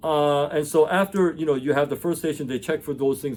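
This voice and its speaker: A man speaks in an animated tone. His pace is very fast. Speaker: educator and former engineer. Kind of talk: casual explainer monologue.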